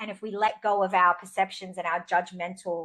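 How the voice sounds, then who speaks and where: A woman speaks in an Australian accent at medium pitch. Her pace is moderate and her intonation monotone and flat. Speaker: podcast host. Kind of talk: casual conversation.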